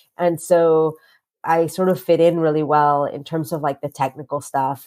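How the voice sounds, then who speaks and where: Speaking with a Spanish accent at a moderate pace, a woman has a very deep, low pitch, a dark, mellow tone and a monotone, flat intonation on a very clean recording with a silent background. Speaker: author and activist. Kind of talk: podcast interview.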